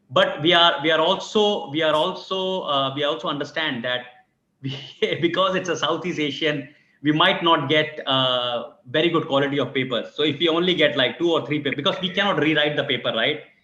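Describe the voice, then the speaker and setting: A man with a fairly high voice keeps up a fairly quick pace. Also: ordinary pitch variation. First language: not English. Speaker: academic symposium organizer. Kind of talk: video call meeting. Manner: halting, many repetitions.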